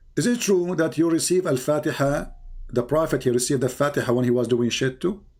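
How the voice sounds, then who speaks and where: A man's fairly high voice at a very fast pace, with very even loudness and ordinary pitch variation. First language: not English. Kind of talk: heated debate. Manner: animated.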